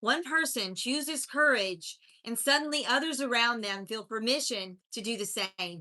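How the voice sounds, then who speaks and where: A woman with a strong Appalachian accent speaks at a moderate pace, her high voice bright and sharp in tone. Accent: strong Appalachian North Carolina. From US South, mountains of North Carolina. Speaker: life coach. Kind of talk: motivational livestream talk. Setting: live stream.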